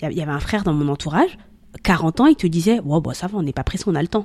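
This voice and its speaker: A woman's plain, everyday voice, fairly low-pitched, with ordinary pitch variation. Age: 30s. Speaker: content creator on love and marriage. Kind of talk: casual chat.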